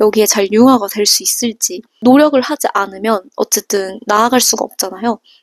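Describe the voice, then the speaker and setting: A woman with a normal speaking voice, fairly high in pitch, talks at a moderate pace in a dry, close sound with no echo. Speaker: vlogger, working holiday hotel worker. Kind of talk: casual vlog storytelling.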